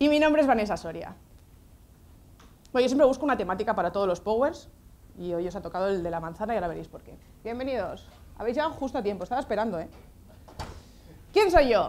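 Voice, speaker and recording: A woman talks at a very fast pace with very wide pitch swings and long, frequent pauses. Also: fairly high pitch for a woman, big swings in loudness. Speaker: social educator and lecturer. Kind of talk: lecture. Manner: animated.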